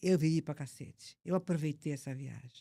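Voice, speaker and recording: Somewhat breathy and dark, mellow in tone, a woman's voice comes through dry and close with no echo on a very clean recording with a silent background. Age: 70s. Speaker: motivational speaker. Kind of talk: podcast interview.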